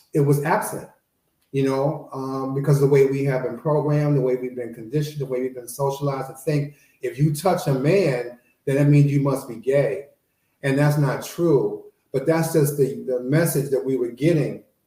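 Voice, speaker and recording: A man speaks with an American accent and fairly even intonation. His voice has a dark, mellow tone and is somewhat breathy. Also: fairly high pitch for a man, moderate pace. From Chicago, South Side. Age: 60s. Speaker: panelist. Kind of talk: panel discussion.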